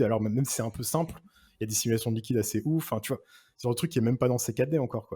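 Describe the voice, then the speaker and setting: Recorded very cleanly against a silent background, a man's medium-pitched voice has a dark, mellow tone and is somewhat breathy. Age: 30s. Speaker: 3D artist and art director. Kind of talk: casual chat. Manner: halting.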